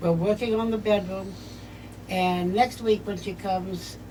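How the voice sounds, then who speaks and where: Audible room echo surrounds a woman of medium pitch who speaks fairly slowly with monotone, flat intonation. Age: 70s. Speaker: home care client. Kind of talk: testimony. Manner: halting.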